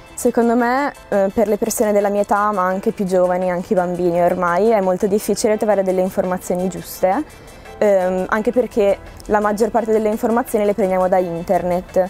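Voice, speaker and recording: Over faint background music, a woman talks at a fairly quick pace with fairly even intonation and very even loudness, the sound dry with no echo. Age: young. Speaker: student. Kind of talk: interview answer. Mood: calm, thoughtful. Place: garden.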